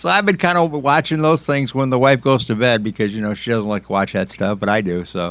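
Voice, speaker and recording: A man at medium pitch, fairly quick, with lively intonation and hardly any pauses, on a very clean recording with a silent background. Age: 60s. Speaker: music radio host. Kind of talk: casual chat. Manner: halting.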